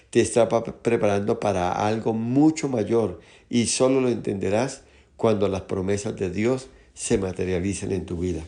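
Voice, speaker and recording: A man's fairly low, dark, mellow voice at a fairly slow pace, with ordinary pitch variation and audible room echo. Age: 60s. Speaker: pastor. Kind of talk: sermon.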